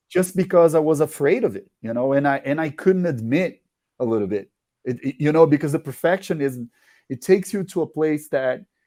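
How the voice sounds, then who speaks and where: In a very clean recording with a silent background, a man with a Portuguese accent speaks at a fairly slow pace, with a fairly high pitch, a dark, mellow tone and lively intonation. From Brazil. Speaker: musician. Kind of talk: interview. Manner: halting.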